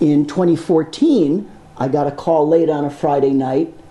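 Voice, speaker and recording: A man with a fairly high pitch and fairly even intonation talks at a moderate pace over noticeable background noise. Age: 60s. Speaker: film sound designer. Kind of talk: panel discussion with students.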